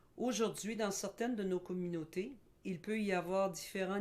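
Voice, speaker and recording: A woman with a plain, everyday voice speaks at a fairly slow pace. Her intonation stays fairly even. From Quebec. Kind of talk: educational presentation. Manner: formal.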